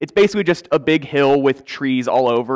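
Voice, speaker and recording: The background stays quiet as a man talks. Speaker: pastor. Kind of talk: sermon. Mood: warm, lightly humorous. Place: church. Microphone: headset.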